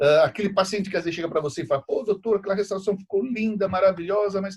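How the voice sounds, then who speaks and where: A man at a very fast pace. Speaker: dentistry professor. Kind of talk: lecture. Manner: halting.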